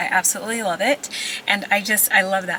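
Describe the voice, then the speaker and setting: Over noticeable background noise, a woman with a medium pitch talks at a fairly quick pace in an animated tone. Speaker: lifestyle vlogger. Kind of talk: casual vlog chat to camera. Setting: in a car. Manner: fast; chatty, animated.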